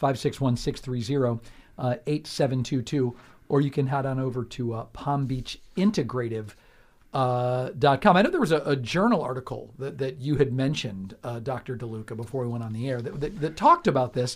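A man with a plain, everyday voice talks at a fairly quick pace. His pitch is medium, with ordinary variation. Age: 50s. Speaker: radio host. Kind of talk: radio interview. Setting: radio studio.

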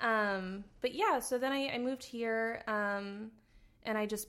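A woman with a plain, everyday voice and an American accent speaks at a moderate pace, her fairly high pitch held in a fairly even intonation. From New Jersey, US. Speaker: comedy writer. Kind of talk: casual interview chat.

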